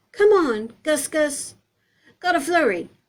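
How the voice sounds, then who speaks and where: Speaking at a fairly slow pace, a woman uses a put-on character voice pitched high. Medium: read story. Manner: clipped, chirpy.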